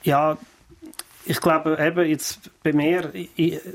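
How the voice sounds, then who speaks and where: Speaking at a very slow pace, a man uses a fairly high voice. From Switzerland, Fricktal (Aargau). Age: 50s. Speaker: entrepreneur. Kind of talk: interview. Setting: studio. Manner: halting, many repetitions and fillers.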